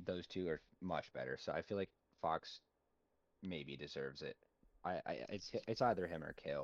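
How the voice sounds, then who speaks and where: Speaking at a moderate pace, a man leaves long, frequent pauses, and the sound is dry and close with no echo. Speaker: hockey podcast host. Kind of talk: casual chat. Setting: home office. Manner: quieter than normal.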